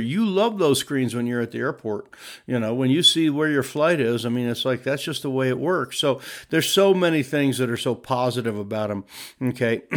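A man's fairly high voice, fairly quick in pace, with lively intonation. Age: 60s. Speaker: podcast host advising church leaders. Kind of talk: casual monologue podcast. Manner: animated.

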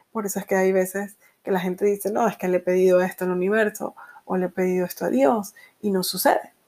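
Very fast speech from a woman at medium pitch, her intonation fairly even. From Venezuela. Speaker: podcast host and energy coach. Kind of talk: solo podcast monologue.

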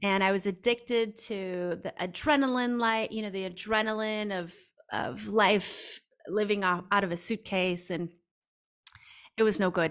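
A woman with an American accent and an ordinary speaking voice, medium in pitch with ordinary pitch variation, at a fairly slow pace, in a very clean recording with a silent background. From US Midwest. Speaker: intuitive coach. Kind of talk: podcast interview.

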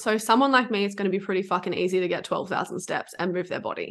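Against a quiet background, a woman talks at a medium pitch with a bright, sharp tone. Her pace is very fast. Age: 20s. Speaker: food freedom and business coach. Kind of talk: casual chat.

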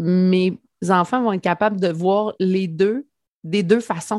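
A woman at a fairly slow pace, dry and close with no echo. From Quebec, rural Lanaudière (Mandeville). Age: 40s. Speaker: entrepreneur and mother. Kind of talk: casual interview chat.

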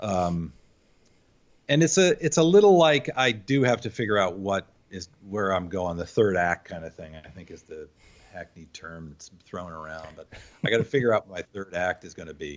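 In a normal speaking voice with an American accent, a man with fairly low pitch talks at a moderate pace, his intonation lively and his loudness swinging widely. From upstate New York. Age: 50s. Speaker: graphic designer. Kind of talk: interview, casual chat.

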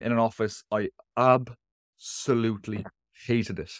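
A man with an Irish accent at medium pitch, fairly even intonation, dry and close with no echo. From Ireland. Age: 20s. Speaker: online coach, nutritionist and teacher. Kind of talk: casual chat.

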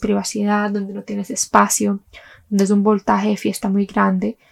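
An unremarkable speaking voice with lively intonation at a fairly quick pace, dry and close with no echo. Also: woman. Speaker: podcast host. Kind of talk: personal storytelling monologue.

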